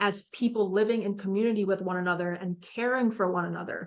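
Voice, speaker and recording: A woman with a plain, everyday voice talks at a medium pitch and a fairly quick pace with fairly even intonation. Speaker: psychiatrist leading a mental health seminar. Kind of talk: online seminar presentation. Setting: virtual seminar.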